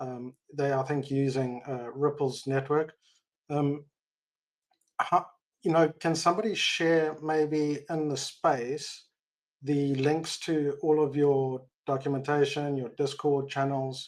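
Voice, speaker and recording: A man with a South African accent speaks at a very slow pace, leaving long, frequent pauses. His fairly high voice is monotone, with flat intonation. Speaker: tech industry expat, audience member. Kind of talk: live audio Q&A.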